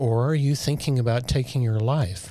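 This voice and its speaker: A man's medium-pitched voice with ordinary pitch variation, on a very clean recording over a silent background. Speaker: military veteran. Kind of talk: interview.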